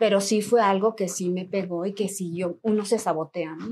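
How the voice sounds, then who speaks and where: Her tone is dark and mellow. The woman's intonation is fairly even. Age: 40s. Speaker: trail runner and running coach. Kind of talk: casual chat.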